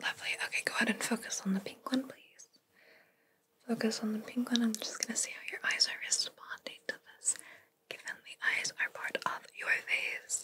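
A woman whispering at a moderate pace, with big swings in loudness. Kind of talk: soft-spoken role-play. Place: home room.

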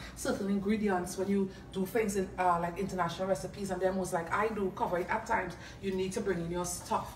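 Someone with a Trinidadian accent talks at a very fast pace with monotone, flat intonation. There is light background noise and audible room echo. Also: woman, medium pitch for a woman. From Trinidad and Tobago. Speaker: home cook and food video creator. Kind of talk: cooking tutorial. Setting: home kitchen. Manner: casual, hesitant with frequent fillers. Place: kitchen. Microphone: phone near.

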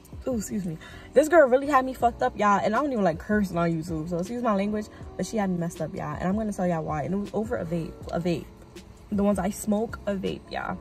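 A woman talks at a very fast pace. The sound is dry with no echo, and faint music plays in the background. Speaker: vlogger. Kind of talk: casual vlog chat. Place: car. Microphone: phone near.

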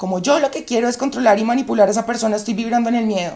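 Her voice has a dark, mellow tone, a fairly high pitch for a woman, and ordinary pitch variation. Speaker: YouTube relationship advice creator. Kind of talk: monologue to camera.

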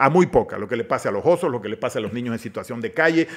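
Speech races along at a very fast pace. A man's intonation stays lively throughout. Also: quiet background. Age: 50s. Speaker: politician. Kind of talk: casual interview chat. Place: studio. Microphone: studio mic.

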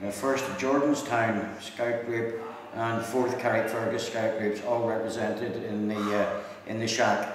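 Delivered at a very slow pace with fairly even intonation, the voice sits in strong room echo over noticeable background noise. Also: man. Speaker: radio operator. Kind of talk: amateur radio contact. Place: hall.

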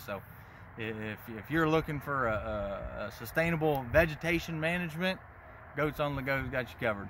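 Over light background noise, a man talks at a moderate pace with ordinary pitch variation in a dry sound with no echo. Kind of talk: interview answer. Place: open country. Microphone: phone near.

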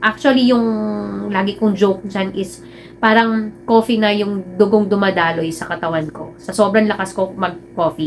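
With light background noise behind her, a woman speaks in a normal speaking voice at a medium pitch and a fairly slow pace, with ordinary pitch variation. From Philippines. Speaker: vlogger. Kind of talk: personal vlog talk. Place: home room.

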